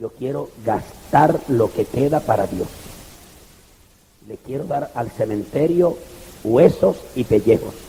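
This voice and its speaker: A man speaks at a very slow pace with long, frequent pauses and a fairly high pitch. His intonation is lively, and his loudness swings widely. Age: 60s. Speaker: pastor. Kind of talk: sermon. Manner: animated.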